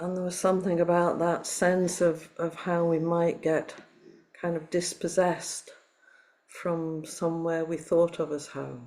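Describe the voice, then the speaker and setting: A woman speaks fairly slowly in a fairly low pitch, her intonation monotone and flat. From Liverpool, northern England. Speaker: meditation teacher. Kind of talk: dharma talk. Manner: reflective, measured.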